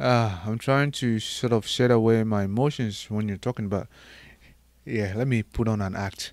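A very clean recording with a silent background of a man in an ordinary speaking voice, medium in pitch, with fairly even intonation at a moderate pace. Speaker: podcast host. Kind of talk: casual interview chat.

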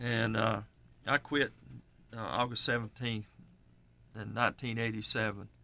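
Speaking in an Appalachian accent, a man holds a medium pitch and a moderate pace, with long, frequent pauses. His intonation is monotone and flat, and the recording is very clean with a silent background. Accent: Southern US, Appalachian. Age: 60s. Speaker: radio show co-host, home builder. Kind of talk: casual radio chat.

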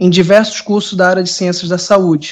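The speaker is a man. He talks in a high voice. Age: 20s. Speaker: university lecturer. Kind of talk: self-introduction video.

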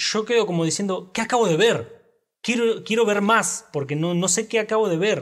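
A man with lively intonation on a very clean recording with a silent background. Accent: Rioplatense. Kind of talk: casual chat about film. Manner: casual, halting, with filler words.

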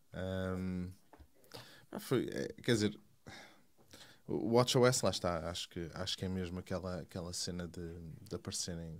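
In a very clean recording with a silent background, a man speaks at a very deep, low pitch with ordinary pitch variation. His pace is fairly slow, with long, frequent pauses. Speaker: tech podcast guest. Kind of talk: casual chat.

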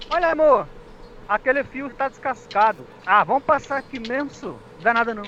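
A raised, projected voice with a bright, sharp tone comes through. It moves at a moderate pace with lively intonation. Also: man, extremely high pitch for a man. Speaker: comedy web radio co-host. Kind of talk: comedy news bits.

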